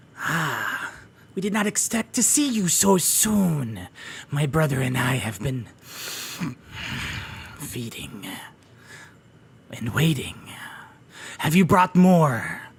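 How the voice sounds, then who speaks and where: A man speaks in a put-on character voice pitched fairly high. His delivery is very slow, with long, frequent pauses. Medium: actual play.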